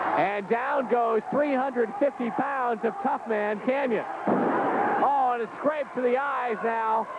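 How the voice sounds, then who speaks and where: Over loud background noise, a man talks with ordinary pitch variation in a dry sound with no echo. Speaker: wrestling play-by-play announcer. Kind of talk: commentary. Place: hall.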